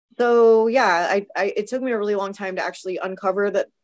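A woman's voice is hoarse and raspy, with fairly even intonation.

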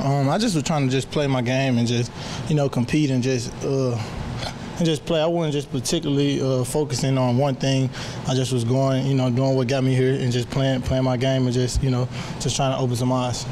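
Noticeable background noise sits under a man talking at a fairly quick pace, monotone and flat, at very even loudness. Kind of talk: interview answer. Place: hall. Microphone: handheld.

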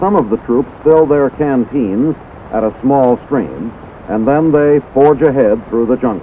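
Against noticeable background noise, words come fairly slowly, with pitch shifting in an ordinary way. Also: man, medium pitch for a man. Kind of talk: scripted newsreel narration. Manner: formal, brisk, authoritative announcer delivery.

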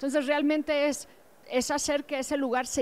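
The speaker is a woman. Her voice is high in pitch. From Mexico. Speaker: museum director; panelist. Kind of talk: panel discussion. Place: hall.

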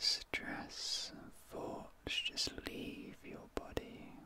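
In a soothing tone, a man whispers over light background noise, the sound dry with no echo. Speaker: ASMR creator. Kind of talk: soft sleep-aid ASMR talk. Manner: slow soothing whisper. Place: home room.

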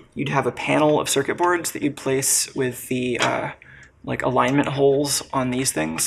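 The speech comes at a moderate pace. Light background noise can be heard. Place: workshop.

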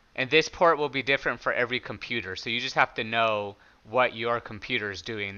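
A loud man's voice, clear, smooth, bright and sharp in tone, at a moderate pace with ordinary pitch variation

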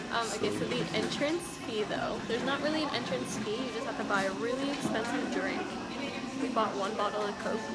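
A woman's fairly quick speech with ordinary pitch variation over clear music in the background. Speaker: vlogger. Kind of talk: casual vlog chat. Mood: cheerful, excited. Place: cafe. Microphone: phone near.

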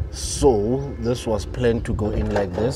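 Music plays in the background as a man speaks. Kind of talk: casual vlog chat. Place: street. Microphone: phone near.

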